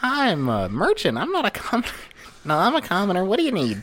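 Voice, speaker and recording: Someone puts on a character voice at a middle pitch, speaking at a very fast pace. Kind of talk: distinct voice from her normal one.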